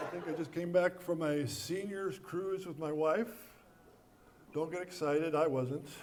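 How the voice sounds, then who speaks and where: Over noticeable background noise and audible room echo, a man talks at a moderate pace in a high pitch with fairly even intonation. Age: 70s. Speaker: comedian. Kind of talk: stand-up; casual chat. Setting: stage with audience.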